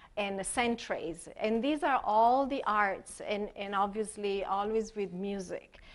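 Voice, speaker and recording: A woman in an Italian accent, fairly high in pitch with ordinary pitch variation, at a very slow pace with hardly any pauses. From Italy. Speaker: expressive arts therapist. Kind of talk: workshop presentation. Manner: halting, many fillers.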